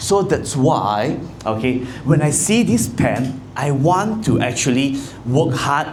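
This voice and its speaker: With a Malaysian accent and lively intonation, a man speaks over noticeable background noise, and audible room echo surrounds him. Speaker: insurance agency leader. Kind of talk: motivational talk. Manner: loud.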